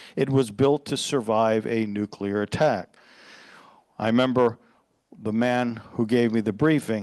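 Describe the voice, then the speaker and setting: In a normal speaking voice at a medium pitch, a man talks at a fairly slow pace. His pitch variation is ordinary, and the background is quiet. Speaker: pastor. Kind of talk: sermon.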